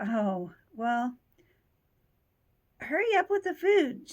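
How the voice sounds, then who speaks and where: Very slow, put-on character voice with very wide pitch swings. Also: woman, high pitch for a woman. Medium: read story. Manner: playful, demanding.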